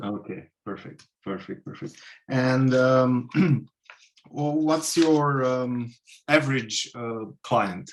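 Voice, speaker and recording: A man talks at a very slow pace with a slight non-native accent, long and frequent pauses, big swings in loudness, and ordinary pitch variation. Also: medium pitch for a man. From Romania. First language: Romanian. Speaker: job applicant. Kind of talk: job interview call.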